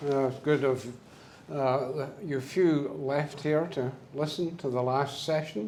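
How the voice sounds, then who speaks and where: With a Scottish accent, a man with a fairly high voice speaks at a very slow pace, and the room echo is audible. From Scotland. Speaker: business owner, speaker. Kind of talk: symposium talk. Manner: halting, many fillers.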